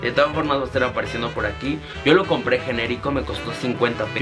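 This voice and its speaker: A man is talking very fast. Clear music is playing behind him. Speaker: vlogger. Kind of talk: casual vlog chat. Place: home room.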